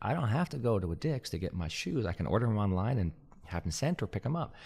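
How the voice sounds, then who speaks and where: A man with a fairly low, somewhat breathy voice and lively intonation, on a very clean recording with a silent background. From Canada, Montreal. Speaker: podcast host. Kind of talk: scripted narration; interview.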